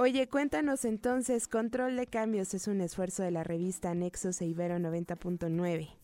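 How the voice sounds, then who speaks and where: A woman speaks at a moderate pace with hardly any pauses, her tone dark and mellow. The recording is very clean, with a silent background. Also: medium pitch for a woman, lively intonation. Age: young. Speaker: radio host. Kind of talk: radio interview. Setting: studio.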